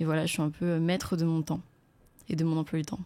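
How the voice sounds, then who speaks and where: A woman talks at a fairly quick pace in a fairly low voice. Her tone is dark and mellow. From France, Paris suburbs (Essonne). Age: 20s. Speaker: content creator. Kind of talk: casual chat. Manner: hesitant, many fillers.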